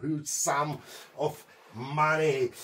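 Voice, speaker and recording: Light background noise is present. A man is speaking. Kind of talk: casual vlog chat. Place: workshop. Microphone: camera far.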